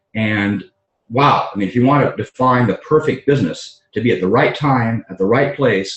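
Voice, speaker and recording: The man's voice is somewhat breathy and sits at a medium pitch. He keeps a moderate pace, and his pitch varies in an ordinary way. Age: 60s. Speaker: doctor and network marketing entrepreneur. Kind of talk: conference call talk. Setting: conference call. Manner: halting, many fillers.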